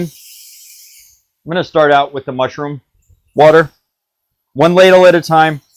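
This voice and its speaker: A man is speaking. His pace is moderate. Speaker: streamer cooking live, former professional cook. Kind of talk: live cooking stream tutorial.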